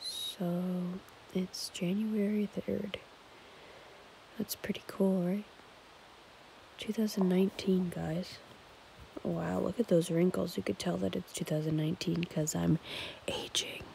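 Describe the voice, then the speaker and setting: Whispering at a fairly slow pace with long, frequent pauses, a woman is heard in a dry sound with no echo and light background noise. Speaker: ASMR vlogger. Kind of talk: casual vlog chat. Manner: drowsy late-night whisper. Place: home room. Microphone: phone near.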